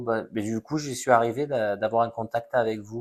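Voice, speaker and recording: Over a quiet background, a man of medium pitch talks with ordinary pitch variation in an unremarkable speaking voice. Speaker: psychic medium. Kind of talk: live stream reading. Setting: live stream on social media.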